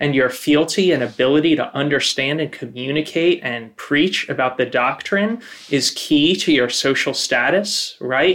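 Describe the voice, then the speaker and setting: Using an ordinary speaking voice, a man with an American accent talks at a fairly high pitch and a moderate pace, his intonation lively. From northern New Jersey. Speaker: community organizer. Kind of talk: casual chat.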